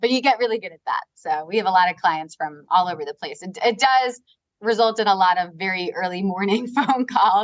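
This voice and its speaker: In a Long Island accent, a woman talks at a very fast pace with lively intonation, her sound dry and close with no echo. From US Northeast (Long Island, New York). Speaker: real estate advisory firm co-founder. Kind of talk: podcast interview. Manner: casual, filler-heavy (like, you know).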